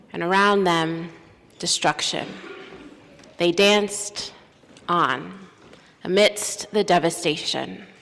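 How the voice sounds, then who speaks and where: Speaking at a very slow pace with long, frequent pauses, a woman uses a fairly low pitch and fairly even intonation against noticeable background noise. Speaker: minister / preacher. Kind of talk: sermon delivered from a pulpit.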